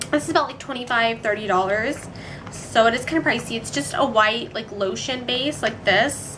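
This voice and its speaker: A woman with fairly high pitch and lively intonation speaks at a moderate pace, with audible room echo and noticeable background noise. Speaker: beauty vlogger. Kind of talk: casual tutorial. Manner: chatty, filler-heavy.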